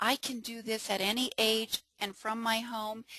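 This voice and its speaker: In an enthusiastic tone, a woman speaks at medium pitch. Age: 60s. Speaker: network marketing presenter. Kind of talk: webinar sales pitch. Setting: webinar.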